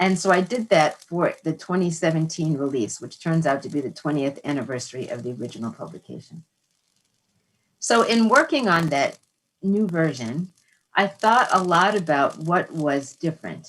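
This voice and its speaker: A woman speaks in an unremarkable speaking voice, pitched fairly low. Her intonation is lively, and her pace is moderate. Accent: American. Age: 60s. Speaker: author and psychologist. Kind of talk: interview conversation. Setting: live broadcast.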